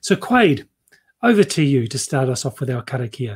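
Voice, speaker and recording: A man's somewhat breathy, fairly high voice with a New Zealand accent, at a moderate pace. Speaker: webinar host. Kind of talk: live webinar presentation. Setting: video call, livestream.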